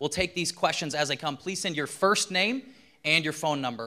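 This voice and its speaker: Bright and sharp in tone, a man speaks at a fairly quick pace with lively intonation. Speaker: pastor. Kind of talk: event announcements. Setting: stage with audience.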